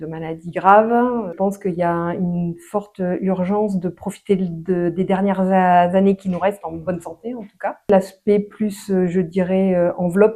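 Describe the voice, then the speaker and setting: A woman's medium-pitched, dark, mellow voice at a fairly slow pace, monotone and flat in intonation, with big swings in loudness. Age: 60s. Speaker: patient giving testimonial. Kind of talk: interview testimony. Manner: hesitant, many fillers.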